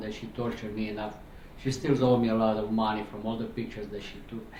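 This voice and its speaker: With a Romanian accent, a man talks very fast at a medium pitch in a flat monotone, over noticeable background noise and audible room echo. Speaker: cancer patient and medical interpreter. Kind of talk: testimony. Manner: halting.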